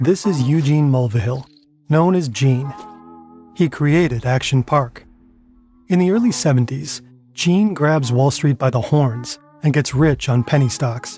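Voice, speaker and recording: A man with a fairly high pitch speaks at a fairly slow pace with very even loudness, ordinary pitch variation, and long, frequent pauses, as music plays in the background. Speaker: documentary narrator. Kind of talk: scripted narration.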